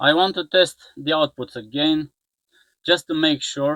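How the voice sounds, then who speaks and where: With a non-native accent, a man talks slowly-ish at a fairly high pitch, his intonation fairly even. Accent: non-native English pronunciation. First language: not English. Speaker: electronics repair youtuber. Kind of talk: tutorial. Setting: workbench. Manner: halting.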